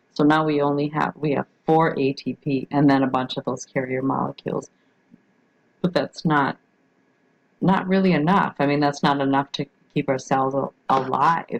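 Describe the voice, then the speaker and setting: The intonation stays fairly even at a moderate pace. The sound is dry and close, with no echo. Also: woman, very deep, low pitch for a woman. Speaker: biology teacher. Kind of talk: recorded lecture. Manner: halting, many fillers.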